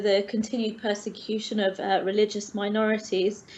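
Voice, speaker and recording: Here a woman talks with a fairly high pitch. Her intonation is monotone and flat. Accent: London. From England, London. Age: 30s. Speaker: teacher. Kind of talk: online interview. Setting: online call. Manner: hesitant, many fillers.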